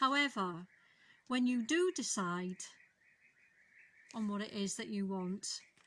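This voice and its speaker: A woman with a Welsh accent speaks very slowly, leaving long, frequent pauses. Her fairly high voice has lively intonation. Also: very clean recording, silent background. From Wales. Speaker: tarot reader. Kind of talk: tarot reading to camera.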